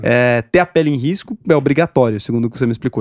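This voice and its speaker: A man delivers his words at a very fast pace. He holds a medium pitch and varies it in an ordinary way. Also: dry, close sound with no echo. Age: 20s. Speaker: podcast host. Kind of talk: casual interview.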